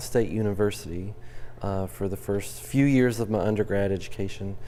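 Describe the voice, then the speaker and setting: A man's dark, mellow voice with an American accent, plus audible room echo. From West Virginia. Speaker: college professor. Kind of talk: interview on campus TV show. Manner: hesitant, many fillers.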